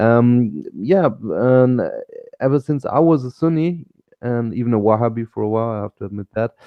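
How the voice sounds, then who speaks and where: Here a man speaks at a medium pitch. He talks with a German accent. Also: ordinary pitch variation, moderate pace. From Germany. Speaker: panelist, religious convert. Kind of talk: group discussion.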